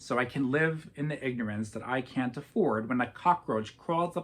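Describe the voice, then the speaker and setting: With a plain, everyday voice, a man speaks at medium pitch and a moderate pace. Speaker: academic conference presenter. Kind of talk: conference presentation.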